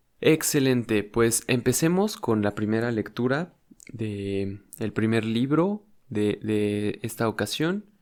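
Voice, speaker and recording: A man holds a medium pitch with ordinary pitch variation, talking very slowly. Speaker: ASMR youtuber. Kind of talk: casual intro before reading aloud. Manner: normal speaking voice, not whispered; hesitant, with many fillers.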